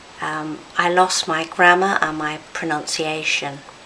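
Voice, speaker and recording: A woman talks in a fairly low voice with monotone, flat intonation. Background noise is noticeable. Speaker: speech and language therapist, stroke survivor. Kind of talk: personal testimony. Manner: deliberate.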